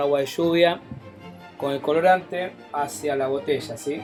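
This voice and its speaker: Fairly slow speech with ordinary pitch variation over music in the background. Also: man. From Rosario, Argentina. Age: 40s. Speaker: amateur meteorologist. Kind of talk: DIY science tutorial. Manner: casual, explanatory.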